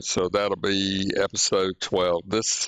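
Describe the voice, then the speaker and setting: Talking at a very slow pace, a man with an Alabama accent has a fairly low pitch. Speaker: podcast host. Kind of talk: casual podcast chat. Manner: halting, many fillers.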